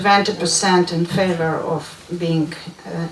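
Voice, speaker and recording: With a Russian accent, a woman speaks at a very slow pace amid noticeable background noise. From Latvia. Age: 60s. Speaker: member of European Parliament. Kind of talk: audience question at panel. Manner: halting.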